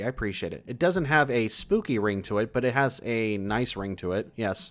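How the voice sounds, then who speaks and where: The recording is very clean, with a silent background, capturing a man with an American accent at a medium pitch. He has an unremarkable speaking voice and a moderate pace. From California. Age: 30s. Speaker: horror story channel host. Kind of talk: livestream chat reading viewer comments. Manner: casual, relaxed.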